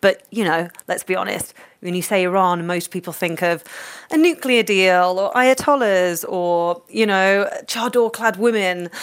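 In a London accent, a woman speaks at a fairly slow pace and a medium pitch, with ordinary pitch variation. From London, England. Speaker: cookbook author. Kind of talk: interview.

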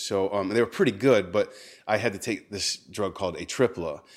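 In an ordinary speaking voice, a man with an American accent talks at a fairly low pitch and a moderate pace. The recording is very clean, with a silent background. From Texas. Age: 40s. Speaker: spoken word poet. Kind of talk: casual chat. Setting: home kitchen.

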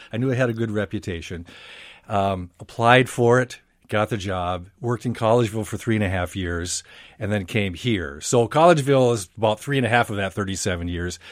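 A man with an American accent talks at a fairly quick pace in a fairly low voice with ordinary pitch variation and a normal speaking voice. The recording is very clean, with a silent background. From Minnesota. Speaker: radio newscaster. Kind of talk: radio interview. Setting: studio.

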